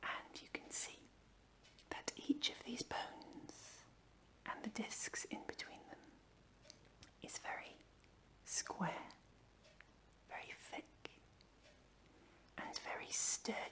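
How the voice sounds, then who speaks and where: Whispering very slowly, a woman pauses long and often, with big swings in loudness. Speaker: chiropractor. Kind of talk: ASMR pain education. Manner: whispered, soft-spoken.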